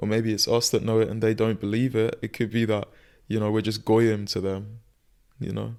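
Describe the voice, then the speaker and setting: Talking at a fairly quick pace, a man uses a flat monotone at a fairly low pitch. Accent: British. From Gaza, Palestine. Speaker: podcast guest. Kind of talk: casual interview conversation. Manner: halting, many fillers and repetitions.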